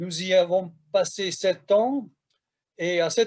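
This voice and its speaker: A man with a Hungarian accent speaks in a high pitch. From Hungary, Budapest. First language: Hungarian (speaking French). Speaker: professor. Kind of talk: lecture.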